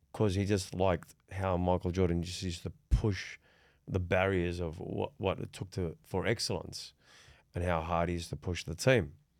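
A man with an Australian accent has a very deep, low pitch and ordinary pitch variation. He talks at a moderate pace in a very clean recording with a silent background. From Sydney, Australia. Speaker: podcast host. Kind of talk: casual chat.

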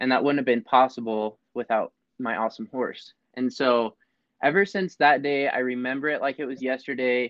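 With a plain, everyday voice, a man talks at a moderate pace and medium pitch, his intonation fairly even. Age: young. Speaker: podcast co-host, horse trainer. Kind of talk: casual chat.

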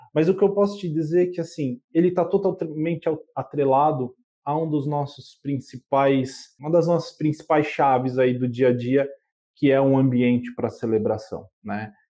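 The speech moves at a moderate pace. Its tone is dark and mellow, with ordinary pitch variation. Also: man, fairly high pitch for a man. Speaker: customer experience manager. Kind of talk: interview.

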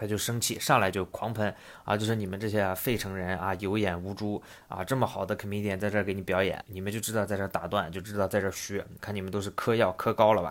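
In a very clean recording with a silent background, a man with a fairly low pitch speaks at a very fast pace. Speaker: podcast host. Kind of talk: casual podcast monologue explaining and retelling a comedy anecdote. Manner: animated, conversational storyteller, lively with filler words.

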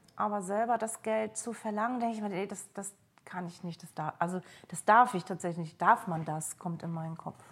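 A somewhat breathy woman at a moderate pace. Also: medium pitch for a woman, ordinary pitch variation, big swings in loudness. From East Germany. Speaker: trainee coach. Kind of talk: coaching session. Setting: at home on a sofa in Berlin.

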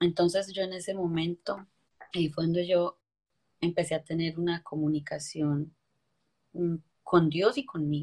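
Her voice is somewhat breathy and fairly low in pitch. The woman speaks at a fairly slow pace. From Colombia, coffee region (Quindío/Valle). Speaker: motivational speaker. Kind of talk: interview testimony.

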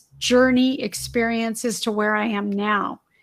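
A woman with an American accent talks at a very slow pace in a bright, sharp tone, recorded very cleanly against a silent background. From Southern California, Torrance. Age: 50s. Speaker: former model turned insurance entrepreneur and author. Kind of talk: casual interview chat.

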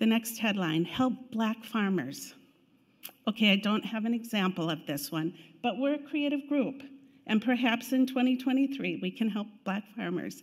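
A woman with vocal fry and a fairly high pitch speaks at a fairly slow pace with lively intonation, in a very clean recording with a silent background. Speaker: church finance committee chair. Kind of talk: church announcement. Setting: church.

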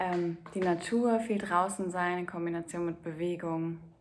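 The voice stays monotone and flat in intonation, moving at a moderate pace. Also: woman. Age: 30s. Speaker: podcaster and spiritual coach. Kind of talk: solo podcast monologue.

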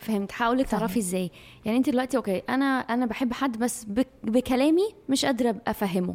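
Noticeable background noise sits behind a woman with a high pitch and ordinary pitch variation. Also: moderate pace, hardly any pauses. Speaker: podcast co-host. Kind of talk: casual chat.

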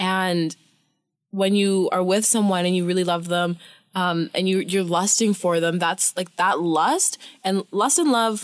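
A woman speaks with a Canadian accent in a plain, everyday voice at a fairly slow pace. Her medium pitch moves with fairly even intonation, and her loudness stays very even. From Canadian prairies. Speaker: podcast guest. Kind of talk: casual chat.

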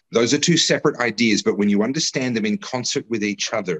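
Someone with an Australian accent speaks with ordinary pitch variation in a dry, close sound with no echo. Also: man. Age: 40s. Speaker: political commentator and candidate. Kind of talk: casual chat.

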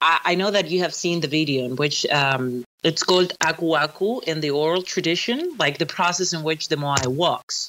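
Ordinary pitch variation in a fairly low female voice. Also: moderate pace. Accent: Spanish. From Chile. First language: Spanish. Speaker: archaeologist. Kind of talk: casual interview chat. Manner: halting, many fillers and restarts.

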